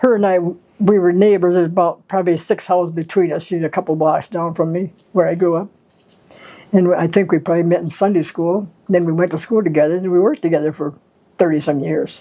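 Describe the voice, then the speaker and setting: Fairly low in pitch, a woman speaks at a very fast pace with fairly even intonation. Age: 90s. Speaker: grandmother. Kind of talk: casual chat.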